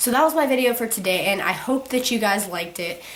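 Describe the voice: At a fairly quick pace, a woman with a medium pitch and a fairly bright tone speaks with lively intonation amid audible room echo.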